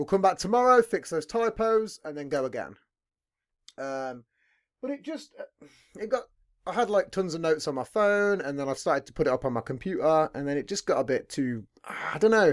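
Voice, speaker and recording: Very clean, with a silent background, this recording has a man with a British accent. His high pitch swings very widely at a fairly quick pace. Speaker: podcast host. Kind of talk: casual chat interview. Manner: swears a lot.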